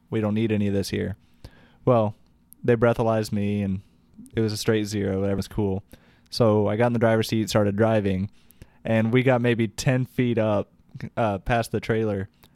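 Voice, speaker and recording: A man with a Midwestern American accent, fairly low pitch and a dark, mellow tone, moderate pace, monotone, flat intonation and long, frequent pauses, in a dry, close sound with no echo on a very clean recording with a silent background. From Indiana, US Midwest. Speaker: band musician. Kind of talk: casual chat.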